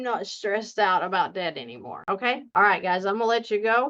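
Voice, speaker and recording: A woman speaks in a strong Southern US accent, her tone bright and sharp against a quiet background. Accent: deep Southern. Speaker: debt coach and finance YouTuber. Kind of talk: casual tutorial to camera. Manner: slow; animated.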